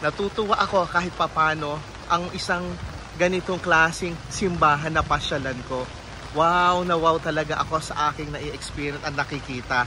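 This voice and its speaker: A man's fairly high voice at a moderate pace, with fairly even intonation and noticeable background noise. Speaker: travel vlogger. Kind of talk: travel vlog narration. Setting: outdoors in heavy rain. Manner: lowered voice inside church.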